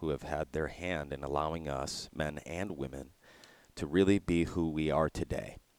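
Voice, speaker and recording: Vocal fry runs through this man's very deep, low voice. He keeps a moderate pace and fairly even intonation. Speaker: podcast host. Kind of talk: interview, casual conversational.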